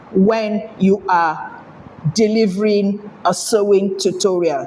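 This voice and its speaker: At a very slow pace and a medium pitch, a woman speaks over noticeable background noise. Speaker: sewing tutorial creator. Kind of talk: tutorial. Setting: home. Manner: clear.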